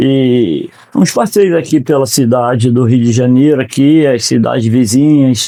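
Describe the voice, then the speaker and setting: At a fairly slow pace, a man speaks with a dark, mellow tone, medium pitch, ordinary pitch variation and very even loudness. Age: 60s. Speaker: retired law graduate. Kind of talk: podcast interview.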